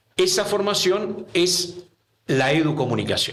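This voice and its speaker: A man is speaking. There is audible room echo. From Argentina. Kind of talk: interview. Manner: halting.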